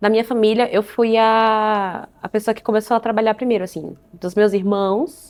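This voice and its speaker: A woman speaks at a moderate pace with a dark, mellow tone, captured in a very clean recording with a silent background. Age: 20s. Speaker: union assistant. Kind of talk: documentary interview.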